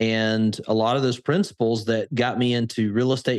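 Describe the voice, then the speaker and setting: In an Alabama accent, a man of medium pitch talks at a fairly slow pace. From US South, Birmingham, Alabama. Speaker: crypto investor and educator. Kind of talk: podcast interview.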